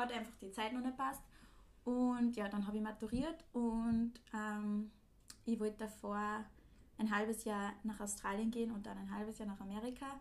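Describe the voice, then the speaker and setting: A woman at a moderate pace, flat and monotone in intonation, with long, frequent pauses. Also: fairly high pitch for a woman. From Austria, Linz. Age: 20s. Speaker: podcast host, former au pair, student. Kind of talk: casual chat.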